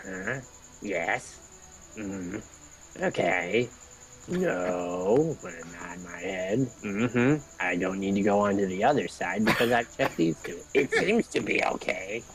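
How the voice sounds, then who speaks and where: A man's put-on character voice, fairly low in pitch at a fairly slow pace, with clear background noise. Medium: game stream. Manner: brusque, officious.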